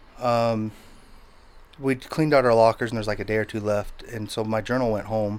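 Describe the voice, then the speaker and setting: A man with an American accent, medium in pitch, fairly quick in pace, flat and monotone in intonation. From Utah, US. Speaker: recovery podcast guest. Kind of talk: interview. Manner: halting.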